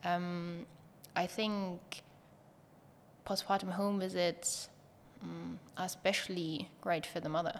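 A woman's fairly low voice, monotone and flat, at a very slow pace with long, frequent pauses. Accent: German. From Germany. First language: German. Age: 20s. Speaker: pediatric nurse and startup co-founder. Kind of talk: interview.

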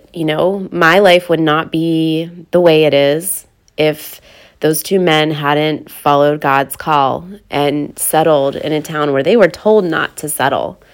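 A woman's very deep, low voice with an American accent, fairly slow pace and fairly even intonation. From western Pennsylvania. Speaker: podcast host and business owner. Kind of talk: faith-based solo podcast talk.

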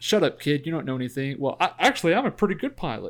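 A man uses a normal speaking voice with ordinary pitch variation on a very clean recording with a silent background. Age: 20s. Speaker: movie podcast co-host. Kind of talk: casual chat.

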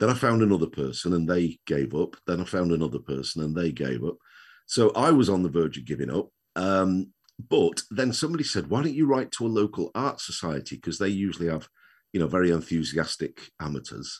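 Over a quiet background, a man with a very deep, low pitch and vocal fry talks at a fairly quick pace with very wide pitch swings. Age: 60s. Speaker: retired children's author, wheelchair user. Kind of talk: casual interview.

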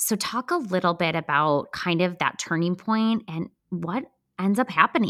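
On a very clean recording with a silent background, a woman with a Midwestern US accent speaks at a moderate pace in a medium pitch. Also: ordinary pitch variation. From US Midwest. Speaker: podcast host. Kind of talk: interview conversation.

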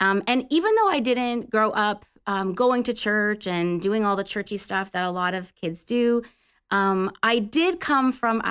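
In an ordinary speaking voice, a woman talks at a medium pitch and a fairly slow pace with ordinary pitch variation against a quiet background. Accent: Canadian. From Canada. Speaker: Salvation Army officer. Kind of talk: faith conversation and testimony. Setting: studio.

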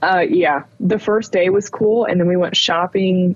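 A woman with a fairly low voice speaks at a moderate pace over noticeable background noise. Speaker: podcast co-host. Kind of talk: casual chat. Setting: at home, child sleeping downstairs. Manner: quiet, holding back volume.

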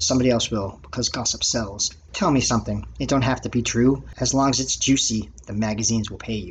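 Delivered at a fairly quick pace with hardly any pauses, this is an ordinary speaking voice with ordinary pitch variation. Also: man, medium pitch for a man. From Massachusetts, Lynn (North Shore of Boston). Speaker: podcast host and amateur writer. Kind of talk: reading aloud own poems and stories.

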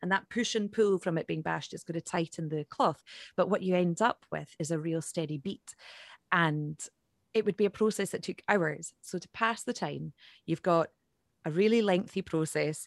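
With a Highland Scottish accent, the speaker talks at a moderate pace with ordinary pitch variation, in a dry, close sound with no echo against a quiet background. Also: woman, fairly low pitch for a woman. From Scotland, Isle of Skye. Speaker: Gaelic singer-songwriter. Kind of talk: interview.

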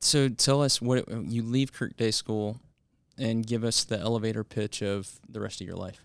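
In a very clean recording with a silent background, a man with an unremarkable speaking voice and a medium pitch talks at a moderate pace with fairly even intonation. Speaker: school head and podcast host. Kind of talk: casual conversational interview about faith and parenting.

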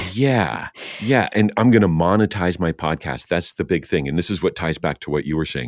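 At a fairly quick pace, a man with a very deep, low pitch speaks with lively intonation and vocal fry. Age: 50s. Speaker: podcast host and voice actor. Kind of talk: casual chat. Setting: video call.

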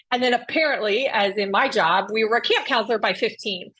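A woman with a normal speaking voice talks at a fairly high pitch and a moderate pace. Her pitch variation is ordinary, and the background is quiet. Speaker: keynote speaker on staff culture. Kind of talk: casual interview chat.

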